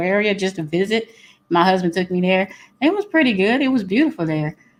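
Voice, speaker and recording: A woman's medium-pitched voice with a Louisiana accent at a fairly quick pace, over a quiet background. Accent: Louisiana Southern US. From Louisiana, Baton Rouge. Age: 40s. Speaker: guest. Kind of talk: casual chat.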